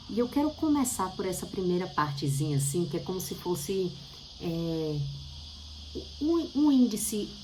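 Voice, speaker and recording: In audible room echo, a woman speaks at a moderate pace with a fairly low, somewhat breathy voice. Her pitch swings very widely. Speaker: bible teacher. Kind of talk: bible study talk.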